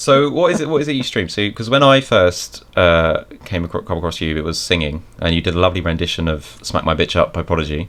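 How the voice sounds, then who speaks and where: A man with a British accent, a very deep, low pitch, very wide pitch swings, a very fast pace and hardly any pauses. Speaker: podcast host and streamer. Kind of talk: casual chat.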